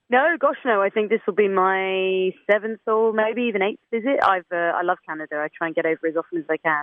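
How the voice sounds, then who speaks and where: A woman at a fairly quick pace with hardly any pauses, medium pitch, lively intonation and an English Midlands accent. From English Midlands, Leicester. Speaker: protest singer-songwriter. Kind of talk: radio interview. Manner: hesitant, many fillers.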